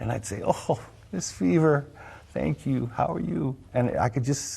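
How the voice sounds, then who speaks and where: A man with an American accent speaks at a fairly slow pace in a dark, mellow tone, with vocal fry. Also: medium pitch for a man. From California, US. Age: 60s. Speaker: longtime local resident. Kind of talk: interview, personal storytelling. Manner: halting, many fillers.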